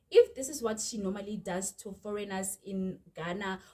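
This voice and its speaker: With a South African accent, the voice has a dark, mellow tone, is somewhat breathy, and moves at a moderate pace with ordinary pitch variation. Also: woman. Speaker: YouTuber. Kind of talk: storytime vlog. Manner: animated.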